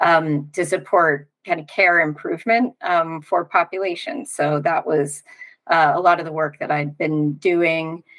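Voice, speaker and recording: A woman in an American accent speaks at a fairly slow pace with a fairly low pitch, ordinary pitch variation and a plain, everyday voice. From United States. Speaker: long covid recovery coach, economist. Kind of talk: interview, personal story.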